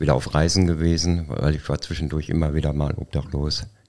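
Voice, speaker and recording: A man speaks at a moderate pace with a very deep, low pitch. His dark, mellow tone carries monotone, flat intonation. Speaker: formerly homeless co-author. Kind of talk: casual interview.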